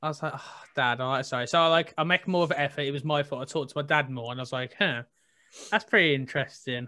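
Pitched fairly high, a man talks with ordinary pitch variation. His pace is very fast. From Tipton, near Birmingham, England. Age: 20s. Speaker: 3D artist and podcast host. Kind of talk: casual interview chat.

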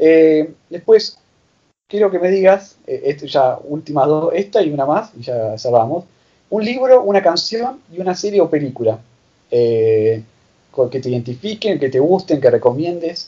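This man speaks with a Rioplatense accent at a fairly high pitch. His pitch swings very widely. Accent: Argentine Spanish (rioplatense). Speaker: podcast host. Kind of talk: interview. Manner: halting.

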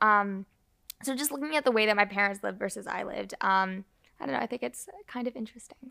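A woman's medium-pitched voice with a Canadian accent, bright and sharp, with lively intonation, a very fast pace and a dry, close sound with no echo. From Toronto, Canada. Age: young. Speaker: podcast host, student. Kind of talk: casual chat.

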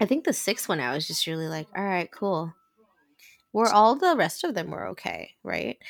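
A woman's voice carries lively intonation along with vocal fry. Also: medium pitch for a woman, moderate pace. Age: 40s. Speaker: podcast co-host. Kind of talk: casual chat.

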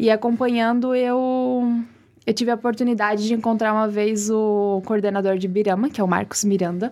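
At a moderate pace, a woman speaks with a dark, mellow tone at a fairly high pitch, her loudness very even and her intonation fairly even. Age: 20s. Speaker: beauty pageant queen. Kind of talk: casual interview chat.

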